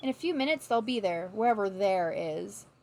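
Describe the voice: Lively intonation colors this plain reading aloud.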